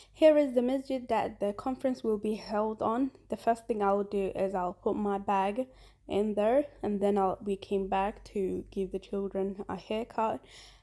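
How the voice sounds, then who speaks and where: A woman talks at a fairly slow pace with hardly any pauses and a non-native accent. Her tone is dark and mellow, with ordinary pitch variation. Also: medium pitch for a woman. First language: Somali. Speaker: vlogger. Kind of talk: casual vlog narration. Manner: halting.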